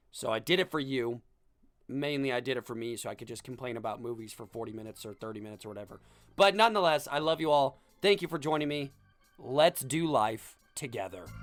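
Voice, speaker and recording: Over music in the background, a man at medium pitch talks at a very fast pace with lively intonation. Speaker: podcast host. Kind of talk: podcast monologue. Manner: casual.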